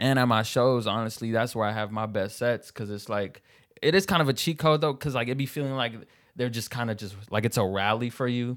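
At a fairly quick pace, a man with an American accent uses an unremarkable speaking voice, medium in pitch with ordinary pitch variation. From Seattle. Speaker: stand-up comedian. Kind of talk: casual chat.

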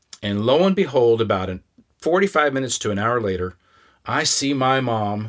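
A man with a Midwestern American accent speaks at a moderate pace and medium pitch. The recording is very clean, with a silent background. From Kansas. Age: 50s. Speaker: podcast host and storyteller. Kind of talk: personal storytelling. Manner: casual, conversational.

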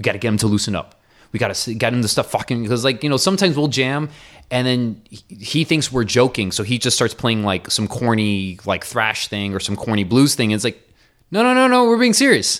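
A man with an American accent, a plain, everyday voice at medium pitch, ordinary pitch variation and a fairly quick pace. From US, Miami. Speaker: jazz and metal drummer. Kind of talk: casual interview.

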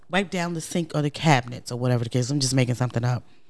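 With lively intonation, a woman speaks in an American accent. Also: very clean recording, silent background. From New York, Brooklyn. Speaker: podcast co-host. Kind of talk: casual chat. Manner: animated.

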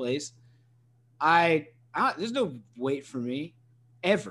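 This man's voice sits fairly high and carries lively intonation. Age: 30s. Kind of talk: casual chat.

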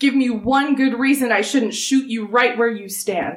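A woman's gruff, put-on character voice at a high pitch and a moderate pace. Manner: threatening.

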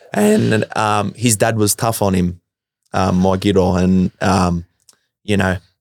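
A man's fairly low, monotone voice with flat intonation, in an Australian accent, with a dry, close sound and no echo. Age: 20s. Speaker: electrician and former footballer. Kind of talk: casual interview.

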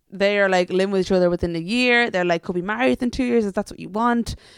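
A woman with an Irish accent talks at a very fast pace and medium pitch in an animated tone with ordinary pitch variation, in a dry, close sound with no echo. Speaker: podcast co-host. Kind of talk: casual chat. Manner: animated, laughs often.

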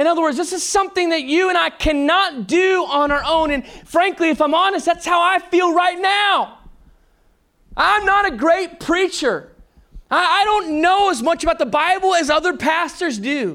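A man with an American accent speaks in a raised, projected voice at an extremely high pitch, with a bright, sharp tone. His pace is moderate and his pitch varies an ordinary amount. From Texas. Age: 30s. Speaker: pastor. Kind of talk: sermon, preached live to a congregation with jokes and call-and-response. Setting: church. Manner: animated, jokey, conversational; energetic, teasing, with interjected laughter.

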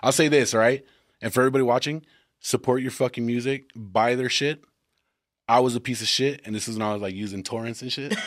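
On a very clean recording with a silent background, a man speaks at a fairly quick pace in a plain, everyday voice at a medium pitch. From Texas. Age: 30s. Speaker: podcast host. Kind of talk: casual chat.

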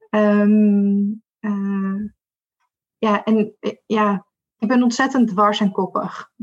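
A woman speaks at a very slow pace with long, frequent pauses. Her voice is somewhat breathy and flat in a monotone. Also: medium pitch for a woman. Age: 30s. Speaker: diversity and inclusion consultant. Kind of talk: interview.

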